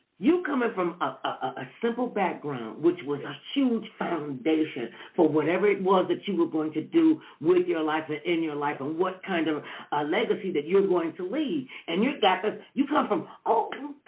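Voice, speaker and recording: Over noticeable background noise, a woman with an American accent speaks loudly at a moderate pace, her fairly low voice swinging very widely in pitch with an animated tone. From Cleveland, Ohio, US. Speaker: talk show host. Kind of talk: interview / casual chat. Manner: loud and boisterous.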